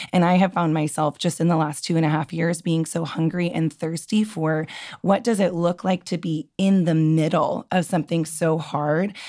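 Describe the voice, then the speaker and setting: The tone is dark and mellow. The pace is moderate, with hardly any pauses. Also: woman, fairly low pitch for a woman. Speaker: podcast guest. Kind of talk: casual chat.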